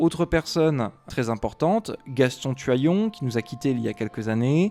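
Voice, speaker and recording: The man speaks at a fairly slow pace. His intonation is lively. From Savoie, France. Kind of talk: educational talk to camera. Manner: hesitant, many filler sounds.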